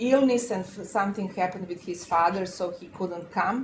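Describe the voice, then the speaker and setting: A woman with a non-native accent speaks at a moderate pace in a medium pitch with fairly even intonation. Noticeable background noise runs under her voice. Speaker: law professor and panel moderator. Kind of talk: round table discussion. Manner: halting, many filler sounds.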